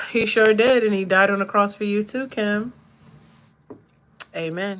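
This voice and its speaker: A woman speaks with an American accent at medium pitch. Her pace is fairly slow. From Maryland, US. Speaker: livestreamer. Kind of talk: casual live-stream chat while doing makeup. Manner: animated.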